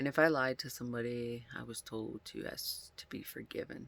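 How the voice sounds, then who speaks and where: A man speaks quietly at a moderate pace. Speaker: vlogger. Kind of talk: casual monologue.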